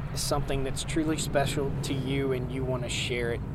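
A man with an American accent speaks at a moderate pace. Audible room echo and noticeable background noise fill the recording. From Virginia, Martinsville. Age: 40s. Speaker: farmer and homesteader. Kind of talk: interview. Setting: conference.

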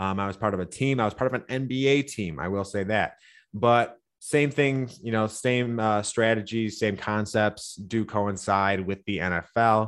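A man with a Michigan accent and ordinary pitch variation, against a quiet background. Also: fairly low pitch for a man, moderate pace. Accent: Midwestern American (Michigan). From Michigan (Livonia, Detroit area). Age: 30s. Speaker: sports betting analyst. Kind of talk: sports betting podcast breakdown.

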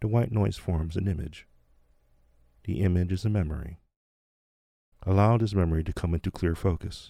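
His voice is somewhat breathy, with a dark, mellow tone. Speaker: meditation teacher and podcast host. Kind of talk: guided meditation. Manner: slow, calm, soothing, hushed, with long pauses; gently instructive, second-person storytelling.

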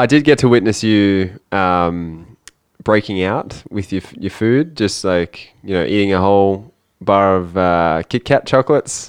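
In an Australian accent, a man speaks fairly slowly at a fairly low pitch with ordinary pitch variation, the sound dry and close with no echo over a quiet background. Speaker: accountant and podcast co-host. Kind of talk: casual chat. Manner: reading news items aloud.

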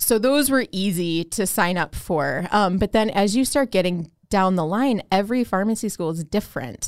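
Heard in a very clean recording with a silent background, a woman at a medium pitch speaks with lively intonation at a moderate pace, hardly pausing. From Chicago, south side. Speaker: hospital pharmacist. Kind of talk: interview. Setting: studio. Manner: hesitant with many fillers.

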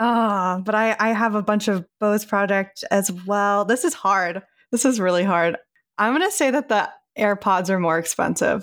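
A woman's normal speaking voice, medium in pitch, at a moderate pace with very even loudness, on a very clean recording with a silent background. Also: ordinary pitch variation. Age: 20s. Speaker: coworker of the host, Taylor Swift fan. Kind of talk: casual chat.

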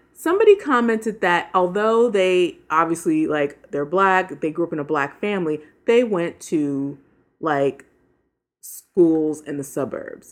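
A woman with an ordinary speaking voice, fairly low pitch and lively intonation at a fairly slow pace, over a quiet background. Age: 40s. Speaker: podcast co-host. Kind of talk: casual chat.

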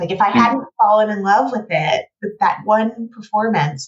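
In an American accent, a woman of medium pitch sounds somewhat breathy as she speaks at a moderate pace. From United States. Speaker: playwright and writing teacher. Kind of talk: casual interview.

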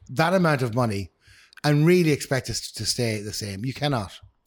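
Very wide pitch swings mark this man's speech in a Northern Irish accent, recorded very cleanly against a silent background. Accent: Northern Irish, Newry. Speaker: podcast co-host. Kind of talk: casual banter chat.

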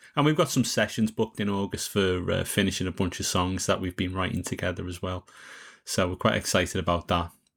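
Speaking at a very fast pace in a Liverpool accent, a man with a very deep, low voice shows ordinary pitch variation, and the recording is very clean with a silent background. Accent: Liverpool (Scouse). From Liverpool, England. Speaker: songwriter and podcast host. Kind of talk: casual interview chat.

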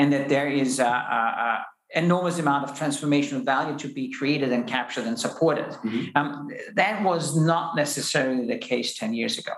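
With a German accent, a man talks at a fairly quick pace and ordinary pitch variation, amid noticeable background noise and audible room echo. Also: fairly high pitch for a man. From Austria. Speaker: space company founder and CEO. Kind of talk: interview conversation. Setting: in-person recording. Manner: hesitant with fillers.

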